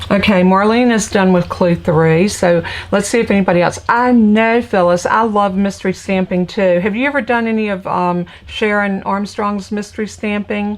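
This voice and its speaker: Amid noticeable background noise, a woman at medium pitch speaks at a moderate pace with fairly even intonation and hardly any pauses. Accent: American. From Virginia, US South (Petersburg area south of Richmond). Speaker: crafting instructor and stamp seller. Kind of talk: live craft tutorial with casual chat. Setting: home craft room, livestream. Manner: casual, chatty.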